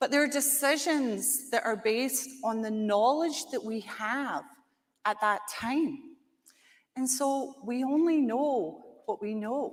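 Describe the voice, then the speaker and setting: With a Scottish accent, a high-pitched woman speaks very slowly with very wide pitch swings. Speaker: conference speaker. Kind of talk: conference presentation.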